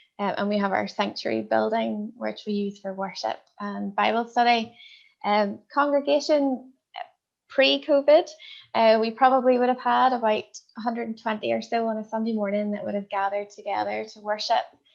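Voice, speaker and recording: Fairly quick, fairly high-pitched woman in a Northern Irish accent, ordinary pitch variation and big swings in loudness. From Northern Ireland. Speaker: minister. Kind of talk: interview.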